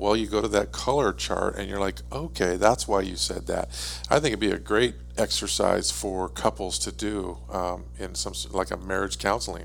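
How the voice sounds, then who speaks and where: Over noticeable background noise, a man with a very deep, low voice speaks at a moderate pace, his pitch swinging very widely. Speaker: guest, husband and business partner. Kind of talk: casual chat.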